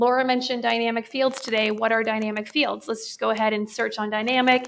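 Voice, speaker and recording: A woman's fairly high voice in monotone, flat intonation at a very fast pace. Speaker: software product demonstrator. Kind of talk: live product demo webinar. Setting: webinar.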